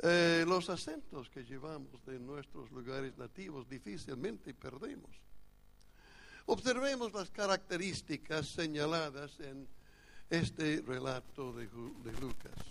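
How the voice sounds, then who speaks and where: A man with a strong North American accent, fairly high pitch and a fairly slow pace, plus lively intonation and big swings in loudness. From United States. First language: English (speaking Spanish). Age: old. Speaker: pastor. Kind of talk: sermon. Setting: church retreat, seated.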